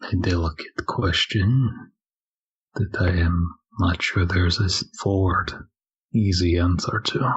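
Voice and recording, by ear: Slowly and in a put-on character voice, a man speaks at a low pitch with a husky, rough edge and fairly even intonation.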